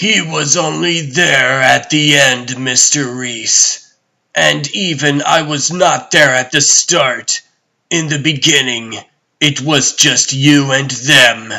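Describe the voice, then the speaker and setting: In a raspy, put-on character voice, a man speaks at a very slow pace and a fairly high pitch. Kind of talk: dramatic comic dub. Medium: fan dub. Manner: formal, commanding, measured.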